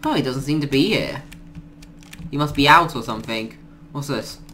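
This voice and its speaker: Amid noticeable background noise, a man speaks at a fairly high pitch. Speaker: gaming YouTuber. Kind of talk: gameplay commentary. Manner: casual, rambling, filler words.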